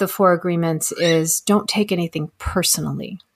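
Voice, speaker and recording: Using a normal speaking voice, a woman talks at a moderate pace with an American accent. Her pitch is fairly low, with ordinary pitch variation. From Texas. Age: 50s. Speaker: animal communicator. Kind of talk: interview conversation.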